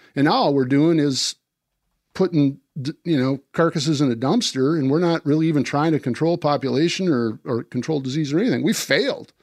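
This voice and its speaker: With a normal speaking voice, a man talks at a fairly quick pace and a fairly high pitch, with ordinary pitch variation and very even loudness, in a dry, close sound with no echo against a quiet background. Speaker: deer hunter and disease-control advocate. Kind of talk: casual chat.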